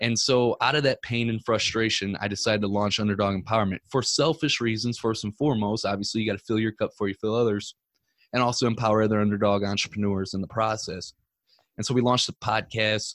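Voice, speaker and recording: This man speaks at a very fast pace. His pitch is fairly low and his intonation fairly even. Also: very clean recording, silent background. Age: 30s. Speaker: entrepreneur and podcaster. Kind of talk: casual chat.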